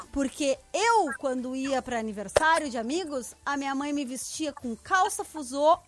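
A woman talks in an animated tone with lively intonation. Her pace is moderate. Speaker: podcast co-host. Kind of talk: casual chat.

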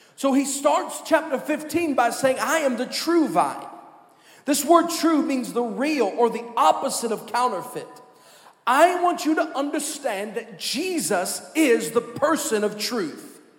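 This man's voice sits at an extremely high pitch, with lively intonation and a fairly slow pace. The recording has noticeable background noise and audible room echo. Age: 30s. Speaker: pastor. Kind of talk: sermon. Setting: church. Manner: animated.

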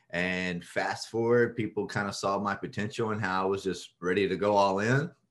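Using a normal speaking voice, a man with an American accent talks at a moderate pace and a fairly low pitch. His intonation stays fairly even, and the recording is very clean with a silent background. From Texas. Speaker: real estate syndicator, Marine veteran. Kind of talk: interview.

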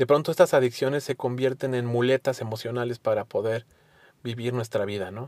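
A man's normal speaking voice, fairly quick and fairly even in intonation, with a dry, close sound and no echo. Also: medium pitch for a man. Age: 30s. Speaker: podcast host, recovering addict. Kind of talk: solo monologue.

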